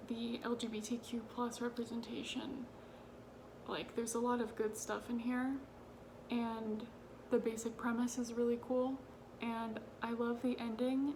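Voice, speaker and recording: A woman speaks quietly with a fairly high pitch, monotone, flat intonation and a fairly slow pace, leaving long, frequent pauses amid noticeable background noise. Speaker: book youtuber. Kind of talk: casual vlog talk. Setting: at home late at night. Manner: quiet, hushed.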